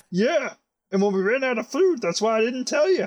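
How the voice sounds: A put-on character voice with a fairly high pitch. The pace is fairly quick.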